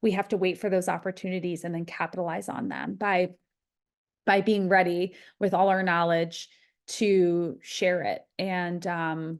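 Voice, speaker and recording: A woman with an ordinary speaking voice, fairly low in pitch, at a fairly slow pace and with fairly even intonation over a quiet background. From US East Coast. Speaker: behavior analyst. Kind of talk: webinar presentation.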